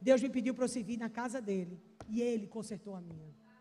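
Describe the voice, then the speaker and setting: Lively intonation marks a woman's fairly quick speech, her pitch fairly high and her tone dark and mellow. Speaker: pastor. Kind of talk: sermon. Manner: animated.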